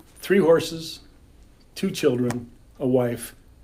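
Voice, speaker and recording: Heard with audible room echo, a man with a dark, mellow tone speaks in an American accent, with lively intonation and a fairly slow pace. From California. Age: 60s. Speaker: storyteller. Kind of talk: storytelling. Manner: animated.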